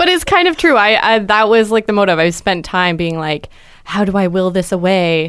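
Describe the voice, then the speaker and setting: This woman has a normal speaking voice, a medium pitch and ordinary pitch variation. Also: moderate pace. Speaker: guest. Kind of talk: casual chat.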